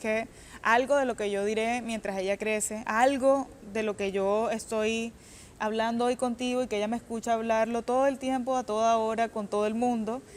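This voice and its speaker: A woman's fairly high voice in a monotone, flat intonation at a moderate pace, on a very clean recording with a silent background. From Colombia, Cartagena. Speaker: author. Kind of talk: interview. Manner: halting.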